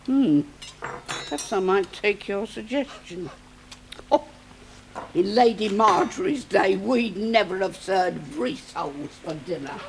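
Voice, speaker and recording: A woman's rumbling, put-on character voice with very wide pitch swings at a fairly slow pace, clear background noise behind it. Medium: short film. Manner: grumbling, scolding.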